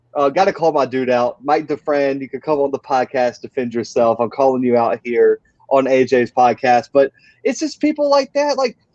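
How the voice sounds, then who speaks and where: Speaking in a plain, everyday voice with an American accent, the speaker keeps a moderate pace and fairly even intonation. The sound is dry and close, with no echo. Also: man, medium pitch for a man. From US South. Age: 20s. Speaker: college football podcaster. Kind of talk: casual podcast chat. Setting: podcast recording.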